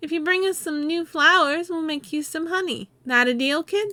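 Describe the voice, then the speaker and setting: A put-on character voice speaks at a high pitch and a moderate pace. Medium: game stream. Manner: gruff, wisecracking.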